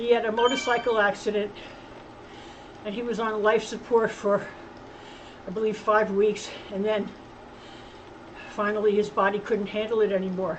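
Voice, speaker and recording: A woman speaks in a flat monotone with long, frequent pauses. Her voice carries audible room echo and noticeable background noise. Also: fairly high pitch for a woman, moderate pace. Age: 70s. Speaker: cycling channel host. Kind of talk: casual vlog talk while riding. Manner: halting.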